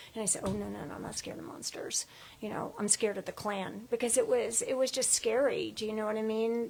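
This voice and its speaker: Her voice is an unremarkable speaking voice, fairly high for a woman, moving at a fairly quick pace with fairly even intonation. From US South (Atlanta), then Boston. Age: 60s. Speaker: interview guest. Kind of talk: casual interview, storytelling. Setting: studio podcast, live stream.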